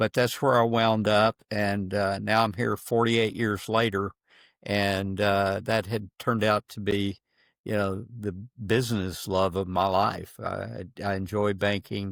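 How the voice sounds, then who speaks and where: In a very clean recording with a silent background and a dry, close sound with no echo, a man speaks fairly slowly in a fairly low, monotone, flat voice. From Texas, Houston. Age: 70s. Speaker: retired-age banker sharing a faith story. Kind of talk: podcast interview.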